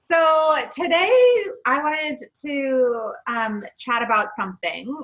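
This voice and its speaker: A loud woman's voice, high-pitched with a bright, sharp tone, lively intonation and a very slow pace. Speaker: podcast co-host. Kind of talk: casual chat.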